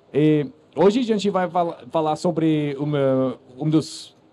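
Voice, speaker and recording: With a non-native accent, a man talks in a fairly high voice with a dark, mellow tone. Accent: foreign accent in Portuguese. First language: English (speaking Portuguese). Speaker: podcast host and founder of a crypto news platform. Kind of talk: live panel moderation. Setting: stage with audience at a conference stand. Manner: halting, many fillers and restarts.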